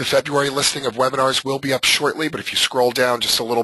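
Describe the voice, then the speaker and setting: This man speaks at a very fast pace in a flat monotone, at a medium pitch. Noticeable background noise runs underneath. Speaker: software trainer. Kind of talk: webinar tutorial. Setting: live webinar call. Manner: hesitant with many fillers.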